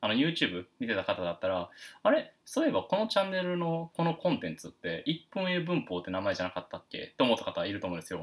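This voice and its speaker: A man talks fairly quickly on a very clean recording with a silent background. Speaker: English teacher. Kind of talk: lecture. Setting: live stream. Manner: halting, many fillers; stiff, formal.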